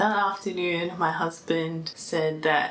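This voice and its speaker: Talking at a fairly slow pace, a woman speaks with an Australian accent. Audible room echo and noticeable background noise surround her. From Australia, Melbourne. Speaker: vlogger. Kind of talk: personal vlog. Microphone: mic unplugged, poor sound near end.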